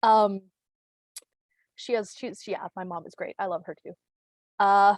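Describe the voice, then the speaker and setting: A woman with a Canadian accent and a medium pitch speaks at a fairly slow pace with fairly even intonation. Her loudness swings widely, and the sound is dry and close with no echo. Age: 30s. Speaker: comedian. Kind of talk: stand-up. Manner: casual, halting with fillers.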